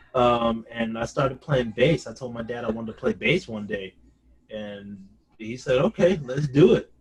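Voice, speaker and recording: A somewhat breathy male voice at medium pitch, ordinary pitch variation and moderate pace, with big swings in loudness. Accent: American. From New Orleans, Louisiana, then California Bay Area. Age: 20s. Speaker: bass guitarist and hip hop producer. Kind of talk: interview. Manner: casual, with many fillers.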